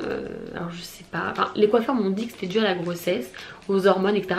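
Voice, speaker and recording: Audible room echo and noticeable background noise surround the recording. A woman speaks at a medium pitch with ordinary pitch variation. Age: 20s. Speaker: beauty vlogger. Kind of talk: product review vlog.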